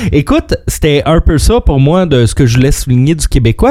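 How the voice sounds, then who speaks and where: The voice belongs to a man. He speaks at a fairly slow pace. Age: 30s. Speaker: radio co-host. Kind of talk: quiz hosting; casual radio chat.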